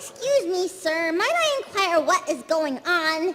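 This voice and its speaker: A squeaky put-on character voice at a fairly slow pace, with clear music in the background. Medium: stage play. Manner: fussy, overly polite.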